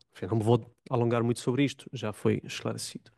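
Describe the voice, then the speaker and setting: A man with an Italian accent talks at a fairly quick pace in a dark, mellow tone, with a dry, close sound with no echo and a quiet background. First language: Italian (speaking Portuguese). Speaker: religious studies academic, panel commentator. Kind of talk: panel talk. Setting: conference room with audience.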